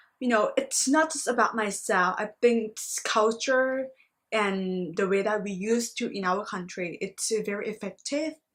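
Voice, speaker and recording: With a Thai accent, a woman talks at a moderate pace and a fairly high pitch with ordinary pitch variation. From Thailand. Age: 20s. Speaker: master's student. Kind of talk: reflective video monologue.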